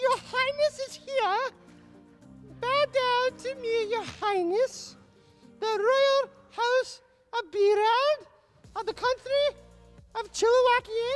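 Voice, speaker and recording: Faint music plays in the background as someone delivers a put-on character voice at a fairly slow pace. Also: female-sounding voice. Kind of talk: posh, regal. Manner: pompous, commanding.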